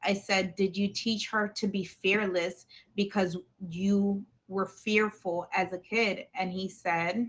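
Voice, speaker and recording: Speaking very slowly, a woman has a somewhat breathy voice and a monotone, flat intonation. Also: medium pitch for a woman. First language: not English. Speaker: talk show host. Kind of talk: live stream chat.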